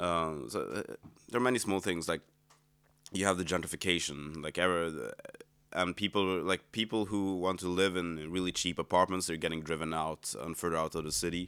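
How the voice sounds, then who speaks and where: A fairly quick pace with ordinary pitch variation. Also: man, very deep, low pitch for a man. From Sweden. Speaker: musician. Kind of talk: casual chat. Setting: apartment. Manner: halting.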